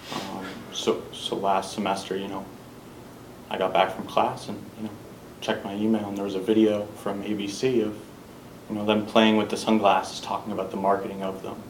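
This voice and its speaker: A man's fairly quick, flat, monotone speech with long, frequent pauses, fairly low pitch and an American accent, amid audible room echo and noticeable background noise. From Massachusetts, Wellesley. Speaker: student entrepreneur. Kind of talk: class introduction.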